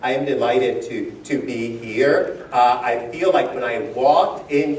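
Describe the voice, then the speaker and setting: Audible room echo surrounds the voice. There is noticeable background noise as well. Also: man. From Dominican Republic. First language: Spanish. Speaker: education speaker, former teacher. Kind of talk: keynote talk to educators. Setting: conference hall with live audience, lavalier mic. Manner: animated, uses hands, moves around.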